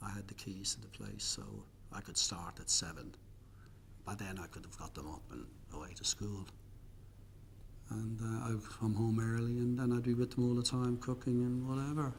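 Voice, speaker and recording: With an Irish accent, a man speaks at medium pitch and a moderate pace. His loudness swings widely, and he takes long, frequent pauses. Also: ordinary pitch variation. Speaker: interviewee. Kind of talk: interview.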